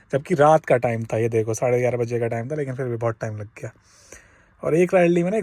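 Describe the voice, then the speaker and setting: A somewhat breathy man's voice, dark and mellow, at medium pitch with ordinary pitch variation. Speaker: cab driver vlogger. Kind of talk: casual vlog. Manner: conversational.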